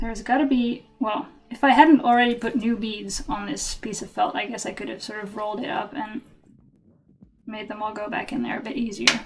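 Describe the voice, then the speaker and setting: A woman with a Dutch accent talks at a fairly quick pace in a fairly high pitch, with ordinary pitch variation and big swings in loudness. Music plays in the background. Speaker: craft streamer. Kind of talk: live stream chat while crafting.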